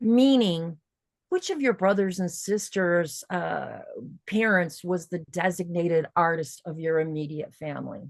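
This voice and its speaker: A woman with an unremarkable speaking voice and an American accent talks at a fairly slow pace, her fairly low pitch showing ordinary variation. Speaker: workshop teacher. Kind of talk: online workshop class.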